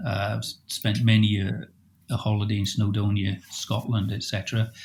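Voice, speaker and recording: At a moderate pace, a man talks at medium pitch in a somewhat breathy voice. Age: 60s. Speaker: landscape photographer. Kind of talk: casual chat. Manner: hesitant, many fillers.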